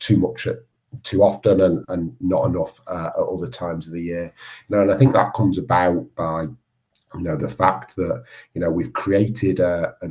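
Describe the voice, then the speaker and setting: With a very deep, low pitch and a Manchester accent, a man talks at a moderate pace with ordinary pitch variation. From northern England, Manchester. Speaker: water industry research chief executive. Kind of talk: podcast interview.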